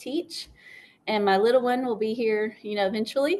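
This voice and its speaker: Over a quiet background, the speaker talks with a South Carolina accent and fairly even intonation. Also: woman. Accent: Southern US (South Carolina). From upstate South Carolina. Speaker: school librarian. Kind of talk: interview. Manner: hesitant, many fillers.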